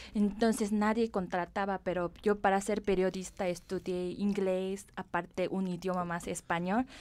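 A woman with a Korean accent speaks at a fairly slow pace with hardly any pauses, her medium-pitched voice monotone and flat, in a very clean recording with a silent background. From South Korea. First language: Korean (speaking Spanish). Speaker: cosmetics company director. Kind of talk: interview.

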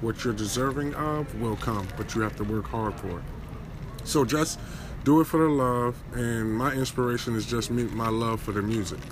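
Noticeable background noise sits behind a man with an American accent, who talks at a moderate pace and medium pitch with ordinary pitch variation. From New Jersey. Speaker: music writer and battle rapper. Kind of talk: casual interview. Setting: live event venue.

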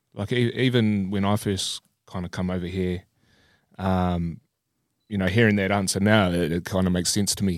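A man's very deep, low voice with a New Zealand accent, fairly even intonation and a moderate pace, on a very clean recording with a silent background. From New Zealand, Christchurch. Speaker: podcast host. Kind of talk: casual chat.

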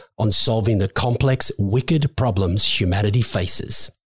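Speaking at a fairly slow pace, a man sounds somewhat breathy, with ordinary pitch variation. The sound is dry and close, with no echo. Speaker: podcast co-host. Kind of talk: casual interview.

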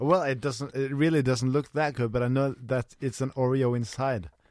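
At a moderate pace, a man speaks in an ordinary speaking voice with a medium pitch and ordinary pitch variation. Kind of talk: casual comedic banter.

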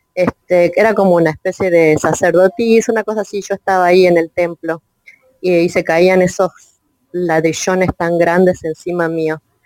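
In a Rioplatense accent, a woman speaks at a moderate pace with a fairly low pitch. Her intonation is monotone and flat, and the sound is dry and close with no echo. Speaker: audience participant. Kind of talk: casual conversation. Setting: online audio chat room.

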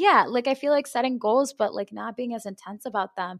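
A woman speaks in a plain, everyday voice at a fairly high pitch with ordinary pitch variation, recorded very cleanly against a silent background with a dry, close sound and no echo. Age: 20s. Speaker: personal trainer, podcast host. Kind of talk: casual chat.

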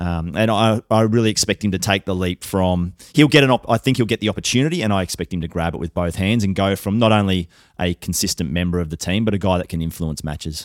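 A man with an Australian accent speaks at a very fast pace with hardly any pauses. His pitch is very deep and low, and the recording is very clean with a silent background. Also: ordinary pitch variation, dry, close sound with no echo. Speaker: football journalist. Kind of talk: casual chat. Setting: studio.

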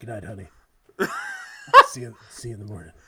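This is a put-on character voice, husky and low-to-middle in pitch. It moves at a moderate pace. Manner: put-on smoky voice.

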